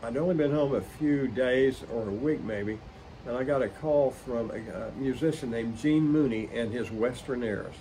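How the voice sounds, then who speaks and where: Audible room echo surrounds a man speaking with an American accent. His pitch is medium with ordinary variation, and his pace is moderate. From Oklahoma, West Tulsa County. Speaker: musician and collector. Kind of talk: interview storytelling.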